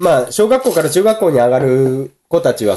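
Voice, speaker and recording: The voice has a dark, mellow tone and very wide pitch swings. It moves at a moderate pace. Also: man. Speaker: podcast co-host. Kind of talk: casual chat.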